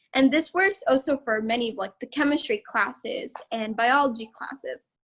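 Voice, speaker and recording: A woman is speaking at a moderate speed. Her intonation sounds lively. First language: not English. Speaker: student tour guide. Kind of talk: campus tour presentation. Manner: casual, with fillers; gets louder when excited.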